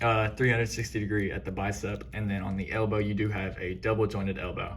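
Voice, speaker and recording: Against noticeable background noise and audible room echo, a man with a fairly low pitch talks at a fairly quick pace. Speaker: toy figure reviewer. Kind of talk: product review tutorial. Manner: hesitant fillers; shaky, excited voice.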